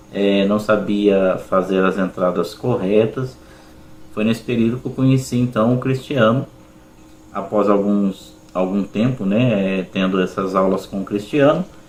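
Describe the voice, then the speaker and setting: Over noticeable background noise, a man with a fairly low pitch talks at a fairly slow pace with fairly even intonation. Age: 40s. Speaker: schoolteacher, student testimonial. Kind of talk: testimony.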